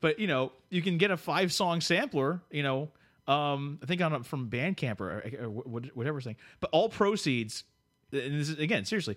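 A man with an American accent and an unremarkable speaking voice talks at a fairly quick pace with lively intonation. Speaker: podcast co-host. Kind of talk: casual chat. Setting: studio.

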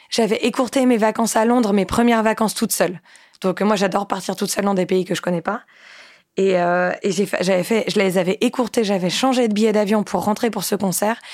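This is an unremarkable speaking voice: a woman at medium pitch, talking at a fairly quick pace with fairly even intonation and very even loudness. The recording is very clean, with a silent background. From France, Nantes. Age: 20s. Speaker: musician. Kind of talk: casual chat.

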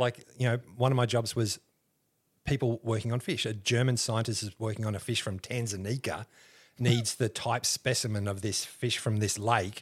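A somewhat breathy man with an Australian accent, in a very clean recording with a silent background. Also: medium pitch for a man, moderate pace. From Australia, Canberra. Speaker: historian and museum educator. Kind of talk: casual interview chat. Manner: animated storytelling, laughs often.

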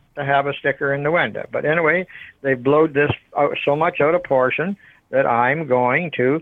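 A man speaks in a fairly high pitch at a moderate pace, with ordinary pitch variation. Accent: Ontario. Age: 70s. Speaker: appliance store owner. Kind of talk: phone conversation. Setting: phone call. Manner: halting.

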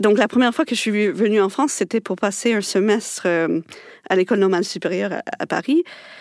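Her pitch is medium for a woman, with ordinary variation and a fairly quick pace. The woman's voice sounds dry and close, with no echo. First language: English (speaking French). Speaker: linguist, researcher. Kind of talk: radio panel discussion.

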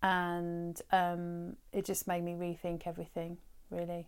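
A woman with a southern English accent speaks at a fairly low pitch and a fairly slow pace. The recording is very clean, with a silent background. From Brighton, southern England. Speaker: holistic therapist. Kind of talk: interview conversation. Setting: her garden work studio. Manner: hesitant, many fillers.

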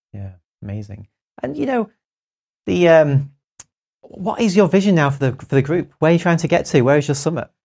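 A somewhat breathy, fairly high male voice with very wide pitch swings and long, frequent pauses. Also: fairly quick pace. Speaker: podcast host. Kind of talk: podcast interview.

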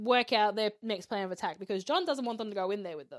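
With an animated tone, a woman speaks in a fairly high pitch and ordinary pitch variation. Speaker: podcast host. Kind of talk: casual chat.

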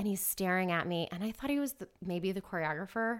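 An ordinary speaking voice with an American accent and ordinary pitch variation, on a very clean recording with a silent background. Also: woman. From US South, Atlanta, Georgia. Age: 30s. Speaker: actress and dancer. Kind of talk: casual chat.

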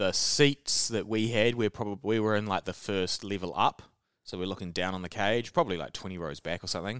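A fairly low-pitched man with a New Zealand accent, ordinary pitch variation and a fairly quick pace, in a dry, close sound with no echo and a very clean recording with a silent background. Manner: casual, joking.

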